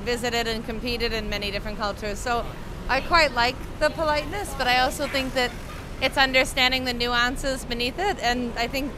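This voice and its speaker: The speaker moves at a fairly quick pace with ordinary pitch variation, and noticeable background noise is present. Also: woman, high pitch for a woman. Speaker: interviewee. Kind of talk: interview answer. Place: street. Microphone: handheld.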